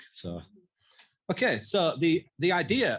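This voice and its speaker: This man has a strong Yorkshire accent and sounds somewhat breathy. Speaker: mental health researcher. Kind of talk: conference presentation.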